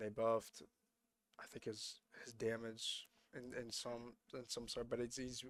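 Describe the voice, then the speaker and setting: With long, frequent pauses, a man speaks at a moderate pace in a monotone, flat intonation. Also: medium pitch for a man. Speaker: esports caster. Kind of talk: live commentary.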